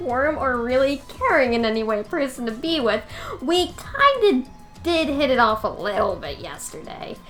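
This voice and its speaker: A woman's put-on character voice at a moderate pace, with clear background noise. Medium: game stream. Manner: blunt, flat.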